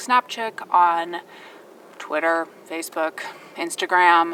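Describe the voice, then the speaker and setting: Her voice is an unremarkable speaking voice, a woman's medium pitch with ordinary pitch variation. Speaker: photographer and video blogger. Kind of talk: casual vlog. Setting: seated after a run.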